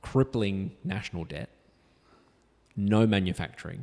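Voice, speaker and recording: Speaking with an Australian accent, a man uses ordinary pitch variation. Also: very clean recording, silent background. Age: 60s. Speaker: justice of the peace. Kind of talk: interview conversation.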